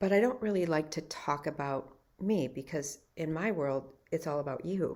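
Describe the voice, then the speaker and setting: In a very clean recording with a silent background, a woman with a very deep, low pitch speaks at a moderate pace with ordinary pitch variation. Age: 60s. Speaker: life and health coach. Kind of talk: personal story monologue.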